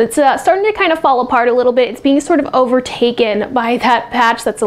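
Her pitch high with ordinary variation, a woman talks at a very fast pace. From US Northeast, South Jersey. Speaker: weather forecaster. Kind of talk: friendly bedtime weather report, casual local-TV forecast delivered straight to viewers. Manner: easygoing and conversational, with scattered filler uhs; speeds up into long run-on stretches when tracking the hurricane. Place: studio. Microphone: lapel.

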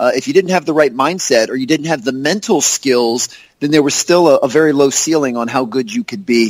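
With a plain, everyday voice, a man speaks fairly quickly in an American accent, his pitch fairly high and his intonation lively. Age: 40s. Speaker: basketball performance coach and speaker. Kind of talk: interview.

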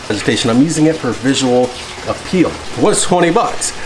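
A man talks at a moderate pace. Noticeable background noise runs underneath. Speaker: fish hobby vlogger. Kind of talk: casual vlog chat. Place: garage. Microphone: phone near.

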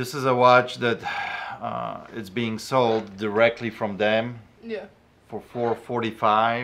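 The pace is very slow. The intonation stays monotone and flat. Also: man. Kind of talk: casual negotiation chat. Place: shop.

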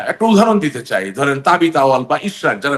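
This voice belongs to a man. Very wide swings mark his pitch. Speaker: politician. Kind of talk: political talk show interview.

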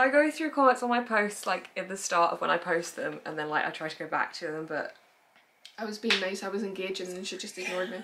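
The woman's intonation is lively. She speaks very fast. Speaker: book channel host. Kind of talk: casual Q&A chat. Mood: cheerful, laughing. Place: home room.

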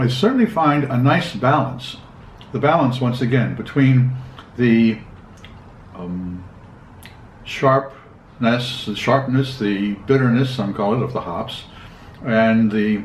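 Amid light background noise and audible room echo, a man speaks very slowly with long, frequent pauses. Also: ordinary pitch variation. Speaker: beer reviewer. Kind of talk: review commentary. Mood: calm, relaxed. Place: kitchen.

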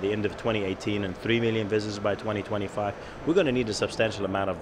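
Over noticeable background noise, a man talks very fast at a fairly low pitch with fairly even intonation. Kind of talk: interview answer. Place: hall. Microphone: handheld.

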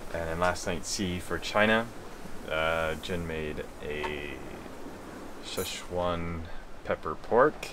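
A man speaks in a very deep, low voice with fairly even intonation. Noticeable background noise runs under him. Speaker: sailing vlogger. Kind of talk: casual vlog chat. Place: boat. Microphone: phone near.

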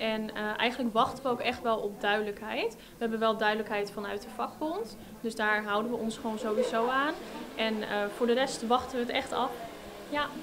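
Against noticeable background noise, a woman speaks fairly quickly with fairly even intonation. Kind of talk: interview answer. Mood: calm, slightly resigned. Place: shop. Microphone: handheld.

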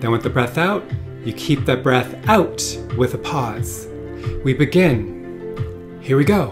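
A man's pitch swings very widely as he talks very slowly against noticeable background noise. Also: medium pitch for a man. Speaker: breathwork guide, wellness studio founder. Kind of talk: guided breathwork instruction. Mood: calm, soothing, meditative. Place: home room.

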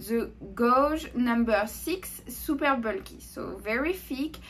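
Light background noise runs beneath a woman's voice. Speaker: crochet tutorial host. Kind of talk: tutorial. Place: home room. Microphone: camera far.

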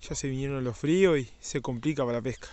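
At a fairly quick pace, a man talks with ordinary pitch variation in a dry sound with no echo. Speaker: angler vlogger. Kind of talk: casual vlog chat. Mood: excited, then calm farewell. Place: waterside. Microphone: phone near.

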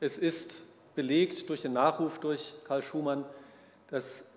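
Very slowly, a man speaks in a fairly high pitch. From northern Germany, Neubrandenburg; Germany. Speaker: botanist and conference co-organizer; lecturer. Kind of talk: lecture. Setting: lecture hall with audience. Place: hall.

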